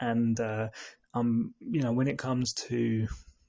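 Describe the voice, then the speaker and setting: A soft-spoken man talks in a medium-pitched voice against a quiet background. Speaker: podcast host. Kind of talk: casual explainer monologue. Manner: soft-spoken, talking quietly; hesitant, many fillers.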